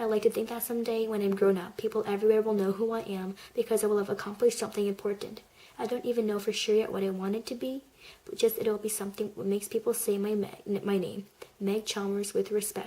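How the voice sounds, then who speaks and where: The voice is soft-spoken, with a monotone, flat intonation. It moves at a very fast pace. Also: woman, fairly high pitch for a woman. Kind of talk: audiobook-style reading of a story.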